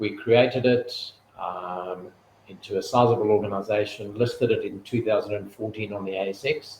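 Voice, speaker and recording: A man speaks in a South African accent, fairly low in pitch and somewhat breathy. His pace is moderate and his intonation fairly even. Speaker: retail executive. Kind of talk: interview.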